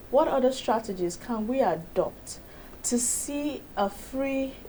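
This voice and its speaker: Lively intonation from a woman amid noticeable background noise. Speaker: broadcast host. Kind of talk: radio interview.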